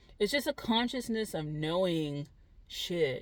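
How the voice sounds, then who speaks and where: On a very clean recording with a silent background, a woman with an American accent speaks at a moderate pace and a fairly low pitch. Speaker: spiritual vlogger. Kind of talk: casual monologue vlog. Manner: loud; rambling, halting.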